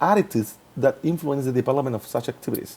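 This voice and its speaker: A man is talking here. His pace is fairly quick. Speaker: English teacher in training. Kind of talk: reflective presentation. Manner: fast; halting.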